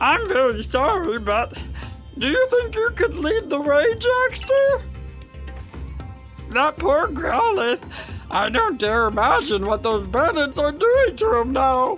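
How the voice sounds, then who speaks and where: A put-on character voice at a high pitch and fairly slow pace, with clear music in the background. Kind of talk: polite, formal. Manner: fearful, timid, silly.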